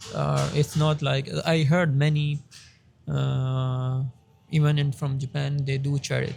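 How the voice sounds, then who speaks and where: Flat and monotone, a man with a fairly high pitch and a Pakistani accent speaks at a fairly slow pace. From Pakistan, southern Punjab (Saraiki-speaking). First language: Saraiki. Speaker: doctoral researcher. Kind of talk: interview. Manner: halting, many self-corrections.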